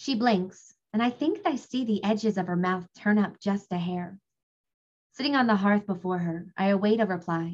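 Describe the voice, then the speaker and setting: Somewhat breathy, a woman speaks at a medium pitch. Her intonation is lively and her pace moderate. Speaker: audiobook narrator and former teacher. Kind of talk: casual interview chat.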